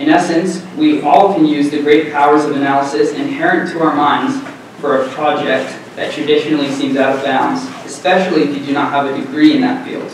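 A man at a fairly quick pace with fairly even intonation, strong room echo and light background noise. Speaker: presenter. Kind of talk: conference presentation. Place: classroom.

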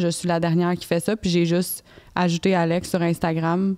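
A woman speaks in an ordinary speaking voice at a medium pitch and a moderate pace. The background is quiet. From Quebec. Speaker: fitness influencer and author; podcast guest. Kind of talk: casual interview chat. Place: studio. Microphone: handheld.

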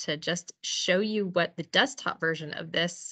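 A woman's fairly low-pitched, unremarkable speaking voice, fairly slow and with ordinary pitch variation, against a quiet background. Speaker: presenter. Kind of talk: lecture. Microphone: video call.

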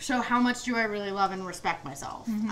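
Over light background noise, a woman speaks at a very fast pace. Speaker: guest comedian. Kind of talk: interview answer. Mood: reflective, candid. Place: kitchen.

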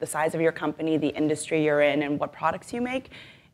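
Noticeable background noise is present throughout. Over it, a woman talks with lively intonation. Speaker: marketing executive. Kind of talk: panel discussion.

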